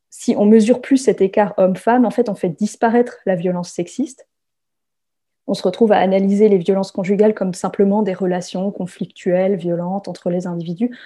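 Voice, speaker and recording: Fairly quick delivery, fairly even intonation, quiet background. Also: woman. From France. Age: 30s. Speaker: sociology PhD student. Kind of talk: testimony. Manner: hesitant with repetitions.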